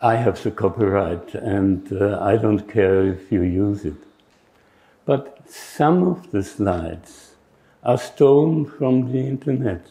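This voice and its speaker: With lively intonation, a man talks at a very slow pace and a fairly low pitch. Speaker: retired professor. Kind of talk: conference keynote. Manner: halting, many fillers.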